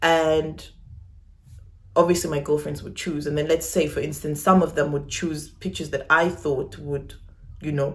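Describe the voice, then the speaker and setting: A woman's voice, very deep and low in pitch, stays monotone and flat with audible room echo. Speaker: YouTuber. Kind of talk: personal vlog. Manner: casual.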